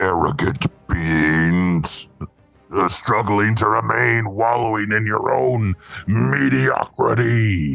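A man's put-on character voice at a fairly low pitch and a very slow pace, with faint music in the background. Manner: arrogant, menacing.

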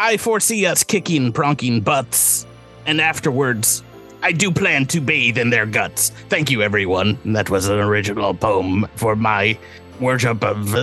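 Over clear background music, a man in a put-on character voice speaks at a moderate pace and a medium pitch.

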